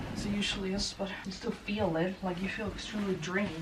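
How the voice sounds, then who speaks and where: Through noticeable background noise, a woman talks at medium pitch with monotone, flat intonation. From Sweden. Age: 20s. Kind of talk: casual talk to camera. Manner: chatty, casual, rambling.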